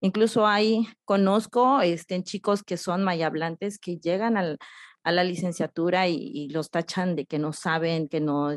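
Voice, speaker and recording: In a Yucatán accent, a woman speaks at a fairly slow pace with medium pitch and ordinary pitch variation, in a dry, close sound with no echo against a quiet background. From Yucatán, Mexico (Oxkutzcab). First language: Yucatec Maya (speaking Spanish). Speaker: poet and writer, educator. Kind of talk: interview. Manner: hesitant, many fillers.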